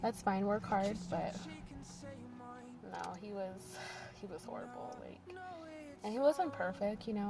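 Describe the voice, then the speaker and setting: With audible room echo around her, a woman speaks at a fairly slow pace in a medium pitch. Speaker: vlogger sharing personal story. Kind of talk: personal testimony. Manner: rambling, halting.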